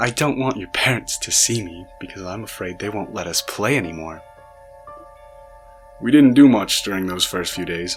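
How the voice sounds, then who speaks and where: Over music in the background, the speaker goes at a fairly quick pace with ordinary pitch variation. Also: man. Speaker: narrator. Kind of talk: horror story narration.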